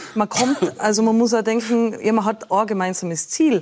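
Here a woman speaks in a plain, everyday voice. Her pace is moderate and her pitch variation ordinary. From Austria, Tyrol (Innsbruck). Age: 40s. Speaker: former pro beach volleyball player, mentor. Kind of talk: talk show interview.

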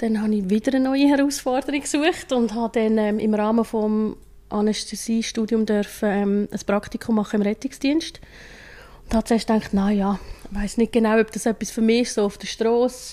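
A woman's fairly high-pitched voice, dark and mellow in tone, with fairly even intonation. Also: moderate pace. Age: 40s. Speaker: paramedic. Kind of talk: interview. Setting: ambulance station.

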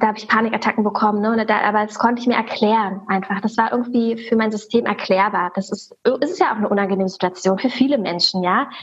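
A woman talks at a fairly quick pace in a fairly high pitch. She has an ordinary speaking voice. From Germany, Berlin. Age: 30s. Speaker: religion teacher. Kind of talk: interview.

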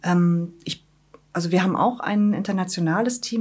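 A woman with a medium pitch and fairly even intonation talks at a moderate speed as noticeable noise sounds in the background. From Wismar, Mecklenburg-Vorpommern, northern Germany. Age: 30s. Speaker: head of a migration advice office. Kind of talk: interview. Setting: office.

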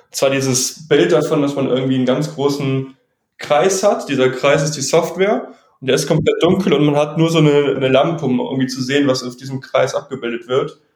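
A man with a normal speaking voice, fairly high-pitched, at a fairly quick pace with ordinary pitch variation. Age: 20s. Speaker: AI startup founder. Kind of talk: podcast interview.

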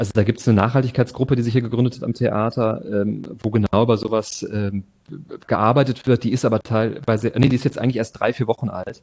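A man talks at a very fast pace. His voice is somewhat breathy, with monotone, flat intonation. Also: medium pitch for a man. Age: 30s. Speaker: theatre and opera director. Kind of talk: interview.

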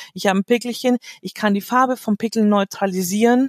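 A woman with an ordinary speaking voice talks at a medium pitch and a fairly quick pace, the sound dry and close with no echo. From Munich, Germany. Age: 40s. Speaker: make-up artist and coach. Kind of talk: interview.

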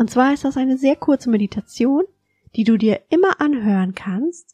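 A calm, soothing voice with a dark, mellow tone, lively intonation and a fairly slow pace, in a dry, close sound with no echo. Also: woman. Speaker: podcast host and mindful eating coach. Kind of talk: guided meditation. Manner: slow, calm, soothing; gentle, soft-spoken, instructing.

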